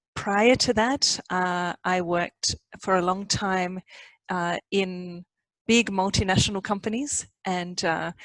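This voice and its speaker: A woman with an Australian accent at a medium pitch with ordinary pitch variation, in a dry, close sound with no echo. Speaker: organization design consultant. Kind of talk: podcast interview.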